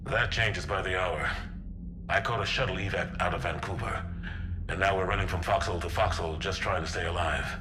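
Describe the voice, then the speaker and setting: A man puts on a character voice with a very deep, low pitch at a fairly quick pace. Loud background noise runs underneath. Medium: short film. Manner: gruff, steady, dry.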